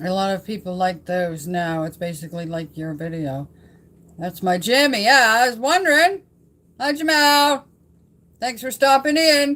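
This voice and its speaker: A loud woman speaks at medium pitch in a bright, sharp tone. Her pitch swings very widely at a moderate pace. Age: 70s. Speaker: vlogger. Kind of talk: casual livestream chat. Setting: home livestream, old farmhouse. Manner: louder when excited.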